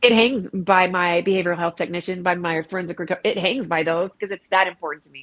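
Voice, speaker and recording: A woman at a very fast pace, fairly even intonation and big swings in loudness. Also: medium pitch for a woman, hardly any pauses. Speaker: peer recovery advocate and former inmate. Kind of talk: casual interview chat.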